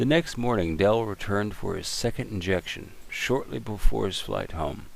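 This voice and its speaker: At a moderate pace, a man with a fairly low pitch and vocal fry speaks with lively intonation. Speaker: YouTuber, amateur author. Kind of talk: reading own fiction aloud.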